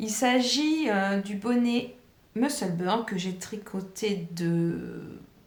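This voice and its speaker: In a room with audible echo, a woman speaks at a medium pitch with ordinary pitch variation. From northern France, Pas-de-Calais. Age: 40s. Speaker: knitting vlogger, primary school teacher. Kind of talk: casual chat. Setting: home kitchen. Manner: hesitant, many fillers.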